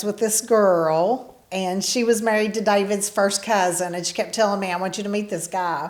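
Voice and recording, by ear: A woman talks at a moderate pace with few pauses. Her pitch varies an ordinary amount. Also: slightly mellow tone.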